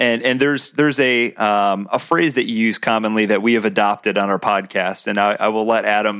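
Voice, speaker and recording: A man uses a normal speaking voice with a fairly low pitch, talking at a fairly quick pace with fairly even intonation and hardly any pauses. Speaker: podcast co-host. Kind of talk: casual chat.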